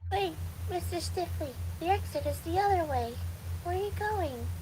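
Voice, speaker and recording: Someone performs a put-on character voice at a moderate pace over loud background noise. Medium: audio drama. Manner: polite, meek.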